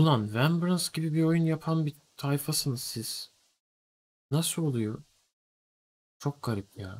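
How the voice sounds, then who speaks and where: A man's very slow delivery, his pitch rising and falling in an ordinary way. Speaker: streamer. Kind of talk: casual stream commentary. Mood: mildly critical, bemused. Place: home room.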